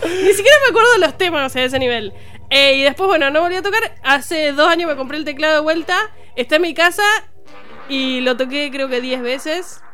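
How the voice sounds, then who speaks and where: Over noticeable background noise, a woman projects a raised, high-pitched voice. She moves at a fairly quick pace with lively intonation. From Argentina, Ceres, Santa Fe province. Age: 30s. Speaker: comedian. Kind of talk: casual chat. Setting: radio studio.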